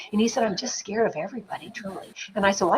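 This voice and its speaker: Speaking very fast with a Canadian accent, a woman at medium pitch sounds animated over noticeable background noise. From Canada, northern New Brunswick. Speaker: film producer. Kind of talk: interview storytelling. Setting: live stream interview.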